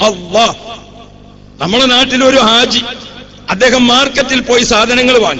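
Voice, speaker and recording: Noticeable background noise sits under a man's voice. His pitch is extremely high, his intonation fairly even. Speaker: Islamic preacher. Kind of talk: religious sermon.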